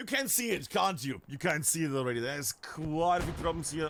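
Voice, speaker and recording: A man with a non-native accent talks at a very fast pace in an animated tone, his fairly high pitch moving with lively intonation. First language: not English. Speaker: esports caster. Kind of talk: live commentary.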